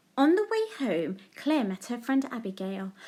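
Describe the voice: At a moderate pace, a woman talks with big pitch swings. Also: fairly high pitch for a woman, slightly mellow tone.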